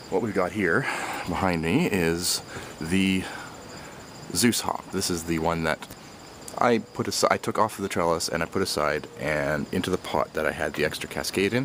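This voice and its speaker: A man with a very deep, low voice talks with ordinary pitch variation while noticeable background noise sounds behind him. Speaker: home gardener and homebrewer. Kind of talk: casual how-to video. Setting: outdoors in garden.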